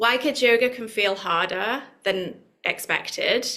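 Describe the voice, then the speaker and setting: Speaking at a fairly slow pace, a woman with a British accent has a high pitch and a bright, sharp tone. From UK. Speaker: yoga teacher trainer. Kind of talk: online workshop presentation. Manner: conversational, with fillers.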